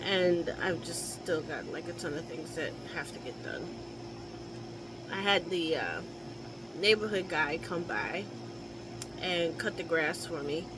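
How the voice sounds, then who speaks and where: Audible room echo and noticeable background noise fill the recording. A woman talks at a fairly slow pace, leaving long, frequent pauses. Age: 60s. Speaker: caregiver vlogger. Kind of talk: casual chat. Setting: home office.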